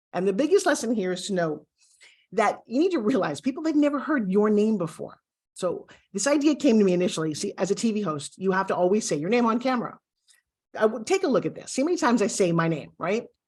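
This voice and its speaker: In a Brooklyn accent, a woman talks very fast and animatedly in a fairly high voice, her pitch swinging very widely against a quiet background. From USA, Brooklyn. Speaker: TV host and pitch coach. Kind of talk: online course lesson.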